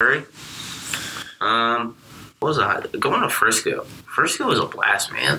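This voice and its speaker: Noticeable background noise sits behind a man talking at a fairly slow pace. He leaves long, frequent pauses. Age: young. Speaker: student sports editor. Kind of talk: casual chat.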